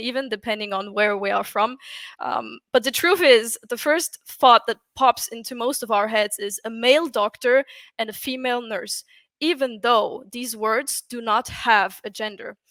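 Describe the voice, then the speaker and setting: Very clean with a silent background and a dry, close sound with no echo, the recording has a woman with a German accent, a fairly high pitch, ordinary pitch variation and a bright, sharp tone. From Austria. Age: 20s. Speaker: UX writer. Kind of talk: conference talk.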